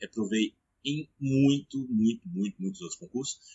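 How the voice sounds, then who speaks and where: A man at a moderate pace, his intonation lively. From Brazil, Brasília. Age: 30s. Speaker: police officer and study-tips YouTuber. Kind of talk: casual personal story to camera. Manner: hesitant, many fillers.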